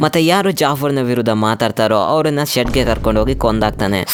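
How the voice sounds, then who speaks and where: A man's voice, a normal speaking voice, with ordinary pitch variation. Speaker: movie explainer narrator. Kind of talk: casual movie recap narration. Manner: joking, conversational.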